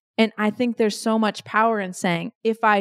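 In a very clean recording with a silent background and a dry, close sound with no echo, a woman speaks in an ordinary speaking voice at a medium pitch and a moderate pace. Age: 40s. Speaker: business executive and keynote speaker. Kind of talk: interview.

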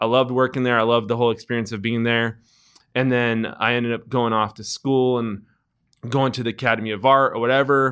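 In a Californian accent, the speaker races at a very fast pace with a monotone, flat intonation, on a very clean recording with a silent background. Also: man, medium pitch for a man. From US West Coast, San Francisco Bay Area. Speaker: entrepreneur, skate shop co-founder. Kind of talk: casual interview.

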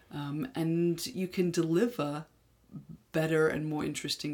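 A woman with an English accent and a very deep, low pitch, talking at a moderate pace. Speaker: sex educator podcast co-host. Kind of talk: casual educational chat.

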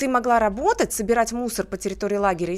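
Very fast and fairly high-pitched, a woman speaks with lively intonation. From Russia, Tver region (Kimry). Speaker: beauty pageant winner. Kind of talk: radio interview. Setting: studio.

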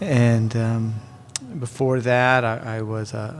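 Noticeable background noise beneath a male voice of medium pitch. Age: 40s. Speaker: ministry director. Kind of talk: casual chat.

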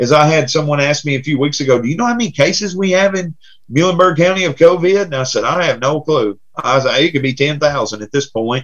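A man's fairly high-pitched, somewhat breathy voice with lively intonation, a very fast pace and hardly any pauses. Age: 40s. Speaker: pastor. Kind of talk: casual chat.

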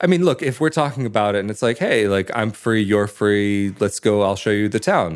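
Here a man speaks in an unremarkable speaking voice with an American accent. His pace is fairly quick and his pitch variation ordinary. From United States. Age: 20s. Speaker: podcaster. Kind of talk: interview.

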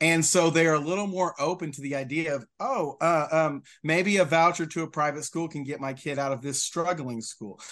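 A man's unremarkable speaking voice, fairly high in pitch, with an American accent, hardly any pauses and a quiet background. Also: ordinary pitch variation, moderate pace. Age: 40s. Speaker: state legislator, former teacher. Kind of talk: casual interview.

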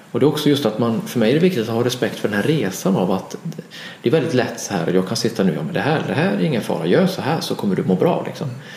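A man at a medium pitch talks very fast with very wide pitch swings, his voice carrying audible room echo and noticeable background noise. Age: 40s. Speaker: therapist and author. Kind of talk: interview conversation. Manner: halting, repeats words.

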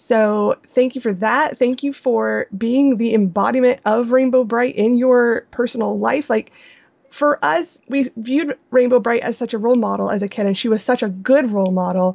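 With ordinary pitch variation, the woman's fairly high voice moves at a moderate pace. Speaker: podcast co-host. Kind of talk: casual interview. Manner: excitable, enthusiastic.

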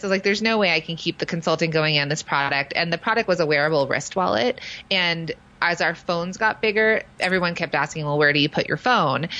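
Delivered at a very fast pace with an American accent, the voice has a bright, sharp tone, very even loudness and ordinary pitch variation. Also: woman, fairly low pitch for a woman. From Los Angeles, US West Coast. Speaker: fashion designer and product business consultant. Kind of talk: interview.

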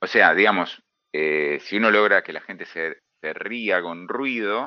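With lively intonation and a fairly low pitch, a man talks at a fairly slow pace in a normal speaking voice. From Argentina, Buenos Aires area (Hurlingham). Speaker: comics writer and cartoonist. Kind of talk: interview.

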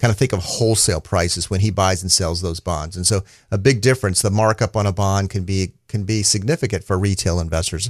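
A man talks at a very fast pace with hardly any pauses. His fairly low voice sounds dry and close, with no echo. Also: ordinary pitch variation. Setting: studio.

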